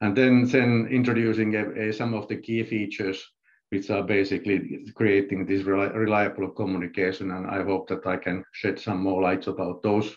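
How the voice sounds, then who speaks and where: Fairly low in pitch, a man talks at a moderate pace with fairly even intonation. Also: quiet background. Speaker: presenter. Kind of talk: webinar presentation. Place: home room. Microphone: video call.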